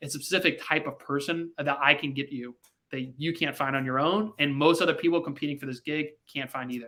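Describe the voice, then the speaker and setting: Recorded very cleanly against a silent background, a man with a bright, sharp tone and fairly high pitch talks at a fairly quick pace with fairly even intonation. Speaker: recruiting coach. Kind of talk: live stream coaching session. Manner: fast.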